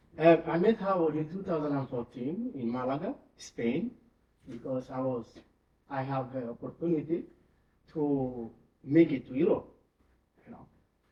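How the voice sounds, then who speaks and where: A man speaks with a somewhat breathy voice, lively intonation, big swings in loudness, and long, frequent pauses. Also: moderate pace. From Guinea-Bissau, rural village. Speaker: charity country director. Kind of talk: memorial tribute speech. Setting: church with congregation. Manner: halting, many fillers.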